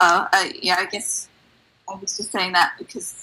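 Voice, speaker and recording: A woman with a London accent at a moderate pace. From London, England. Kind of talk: interview testimony.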